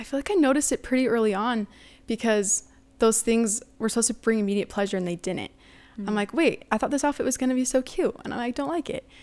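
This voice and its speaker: Very fast and fairly high-pitched, a woman talks with an American accent and ordinary pitch variation. The recording is very clean, with a silent background. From United States. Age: 20s. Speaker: college student and returned missionary. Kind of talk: interview.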